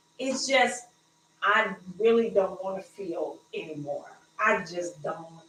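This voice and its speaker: Speaking at a very slow pace with long, frequent pauses, a woman with a Southern accent uses a medium pitch and lively intonation. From US South. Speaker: podcast co-host. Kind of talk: casual chat. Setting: livestream.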